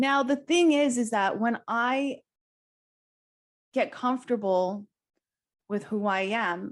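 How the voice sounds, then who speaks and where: The background is quiet. A woman speaks at a fairly high pitch with ordinary pitch variation. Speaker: leadership summit speaker. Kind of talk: motivational talk. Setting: virtual summit. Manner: loud.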